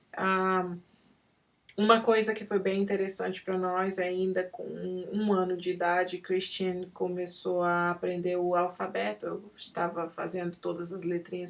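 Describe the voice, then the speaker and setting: At a fairly slow pace, a woman talks with monotone, flat intonation. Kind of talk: personal testimony. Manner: halting, with many fillers.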